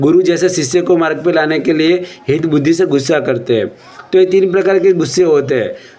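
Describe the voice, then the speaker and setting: A man with a high pitch is heard against noticeable background noise. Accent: Gujarati. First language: Gujarati (speaking Hindi). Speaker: Jain religious speaker. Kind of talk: religious discourse.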